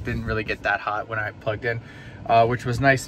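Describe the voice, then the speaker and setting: A man speaks over light background noise. The sound is dry, with no echo. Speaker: EV vlogger. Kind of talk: casual vlog chat. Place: car. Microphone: phone near.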